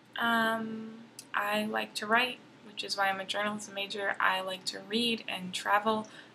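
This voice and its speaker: At a fairly slow pace, a woman with an American accent speaks in a bright, sharp tone at a fairly high pitch, her intonation monotone and flat. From Texas, Dallas area. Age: 20s. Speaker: college student vlogger. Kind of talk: casual vlog introduction.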